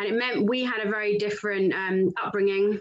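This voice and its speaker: There is audible room echo around a woman's voice. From Lowestoft, Suffolk, East Anglia (England). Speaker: sales director and business co-founder. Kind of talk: interview.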